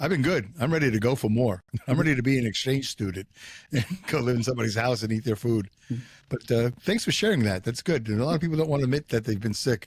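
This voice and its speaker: A man with a medium-pitched, somewhat breathy voice talks very fast, his loudness very even and his pitch varying in an ordinary way. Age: 60s. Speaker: podcast host. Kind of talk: casual chat.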